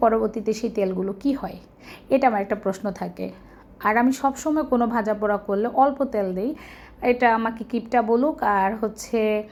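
A woman's fairly high, dark and mellow voice with fairly even intonation. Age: middle-aged. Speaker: vlogger and homemaker. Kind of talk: casual vlog narration.

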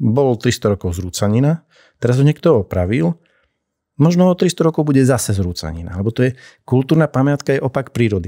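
A man speaks at a moderate pace in a dark, mellow tone, his pitch swinging very widely over a quiet background. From eastern Slovakia, Šariš region; Slovakia. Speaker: castle restoration coordinator; podcast guest. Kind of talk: interview conversation. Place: studio. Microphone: studio mic.

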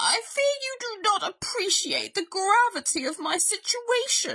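In a put-on character voice, a woman speaks at an extremely high pitch with big pitch swings, a bright, sharp tone and a fairly slow pace.

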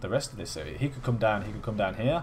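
A man with a British accent, vocal fry and ordinary pitch variation. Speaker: gaming YouTuber. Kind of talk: video game commentary. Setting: home recording at PC. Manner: casual, chatty.

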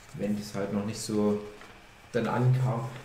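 Over noticeable background noise and audible room echo, a man talks at a fairly slow pace with monotone, flat intonation. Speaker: podcast host. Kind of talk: casual chat.

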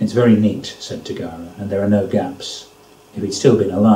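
Someone is reading aloud in a natural voice, keeping the intonation fairly even.

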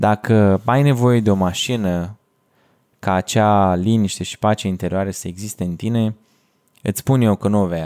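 Over a quiet background, a man with a dark, mellow tone and fairly low pitch speaks at a moderate pace with fairly even intonation. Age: 20s. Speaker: podcast host and video editor; podcast host. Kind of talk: solo podcast monologue. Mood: calm, thoughtful. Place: home room. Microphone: studio mic.

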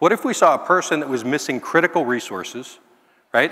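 A man talks in a plain, everyday voice at a fairly quick pace. The background is quiet. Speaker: keynote speaker, housing and health nonprofit leader. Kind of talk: keynote speech. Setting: stage with audience. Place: hall. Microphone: headset.

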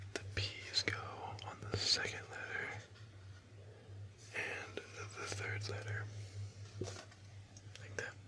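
A man speaks at a very slow pace. Long, frequent pauses break his speech over noticeable background noise. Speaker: ASMR creator. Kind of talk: ASMR board game role play. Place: home room. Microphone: studio mic.

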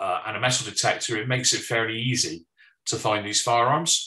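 A man with a British accent talks at a fairly quick pace. His tone is bright and sharp, his pitch variation ordinary, and the background quiet. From United Kingdom. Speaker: firearms consultant, former law enforcement. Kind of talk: presentation. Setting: online webinar. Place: home room. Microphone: webcam.

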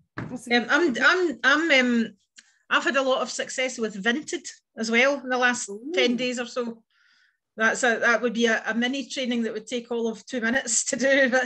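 Over a quiet background, a woman speaks at a high pitch and fairly quick pace in a bright, sharp tone with fairly even intonation. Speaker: catalogue sales representative. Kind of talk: casual chat. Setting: video call. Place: home room. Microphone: video call.

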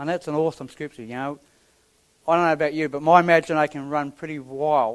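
A man talks very fast in a monotone, flat intonation. The background is quiet. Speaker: preacher. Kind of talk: sermon. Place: church.

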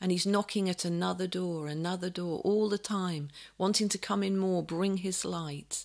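Against a quiet background, a woman is speaking. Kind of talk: sermon and prayer. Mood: calm, gentle, reverent. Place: home room. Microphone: webcam.

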